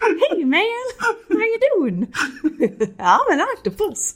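An extremely high-pitched, put-on character voice moves at a very slow pace. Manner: goofy.

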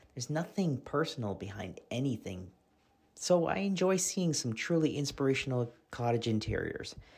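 A man with an unremarkable speaking voice, lively intonation and a moderate pace, on a very clean recording with a silent background. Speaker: magazine fan. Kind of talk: reading aloud a fan message.

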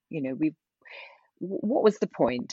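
The voice has vocal fry and swings very widely in pitch. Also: woman. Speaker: wellbeing founder. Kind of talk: casual interview.

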